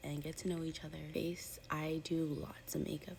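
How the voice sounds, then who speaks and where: Whispering, a woman keeps her voice soft. She moves along at a moderate pace. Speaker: beauty vlogger. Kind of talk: makeup tutorial. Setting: at home, seated by a window. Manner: whispering, soft-spoken; chatty.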